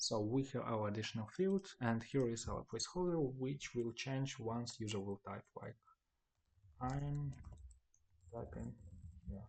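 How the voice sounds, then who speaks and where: Someone with a Ukrainian accent talks at a fairly slow pace with ordinary pitch variation and long, frequent pauses. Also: man, medium pitch for a man. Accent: Ukrainian accent, non-native English. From Ukraine. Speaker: web developer, tutorial maker. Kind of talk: screen-recorded tutorial. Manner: halting, with fillers.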